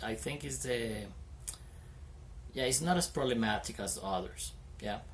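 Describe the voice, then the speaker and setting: In a room with audible echo, a man talks at a moderate pace in a medium pitch. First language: Spanish. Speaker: English teacher, video creator. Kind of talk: casual vlog talk to camera. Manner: stutters; hesitant, many fillers.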